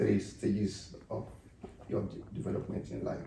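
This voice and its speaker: Light background noise and audible room echo accompany a man talking at a moderate pace. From Nigeria. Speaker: pastor and interview host; pastor, interview host. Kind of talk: interview. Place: home room. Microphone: camera far.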